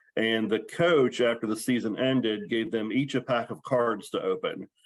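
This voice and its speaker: A man's unremarkable speaking voice with an American accent, medium in pitch, at a moderate pace, with ordinary pitch variation. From western Maryland. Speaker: sports card collector. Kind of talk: podcast interview.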